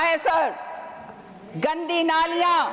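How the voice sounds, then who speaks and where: Over noticeable background noise, a woman speaks with a Haryana accent. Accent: Haryanvi. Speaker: politician. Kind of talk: parliamentary speech. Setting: parliament chamber.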